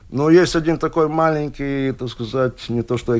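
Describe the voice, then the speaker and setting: A man talks at a fairly slow pace and a medium pitch. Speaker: archery instructor. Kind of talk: casual interview. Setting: studio. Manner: halting, hesitant, filler words.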